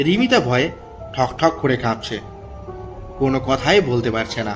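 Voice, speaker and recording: Music plays in the background. Over it, a man talks at a medium pitch. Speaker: horror story narrator / channel host. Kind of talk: horror story narration. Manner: suspenseful storytelling.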